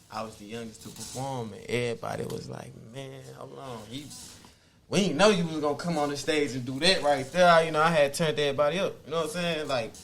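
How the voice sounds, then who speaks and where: Very fast, with big swings in loudness, a man speaks at a fairly high pitch with ordinary pitch variation. Audible room echo and noticeable background noise surround him. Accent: American. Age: 20s. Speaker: rapper. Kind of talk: casual interview.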